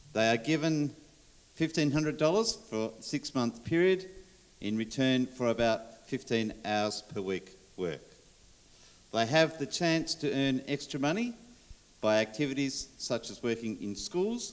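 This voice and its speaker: With an Australian accent, a man talks at a medium pitch, his intonation lively. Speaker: sports official. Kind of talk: conference presentation.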